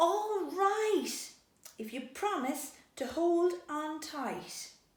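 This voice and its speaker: A woman puts on a character voice at an extremely high pitch, raised and projected, going at a very slow pace with a slight echo. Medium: read story.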